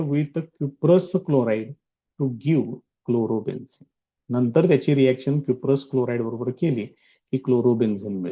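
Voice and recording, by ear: This man talks at a slow pace, with ordinary pitch variation.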